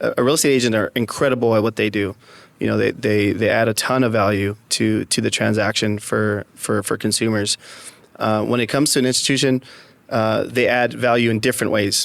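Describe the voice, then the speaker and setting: A man's medium-pitched voice with vocal fry, a fairly quick pace, fairly even intonation and very even loudness. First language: Spanish. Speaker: real estate executive. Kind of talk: podcast interview. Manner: halting, many repetitions and fillers.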